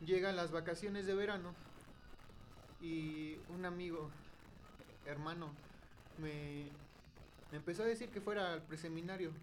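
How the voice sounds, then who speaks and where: Amid audible room echo, a high-pitched man talks at a fairly slow pace with fairly even intonation and long, frequent pauses. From Mexico, Hidalgo. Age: young. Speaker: seminarian, podcast co-host. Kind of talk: testimony.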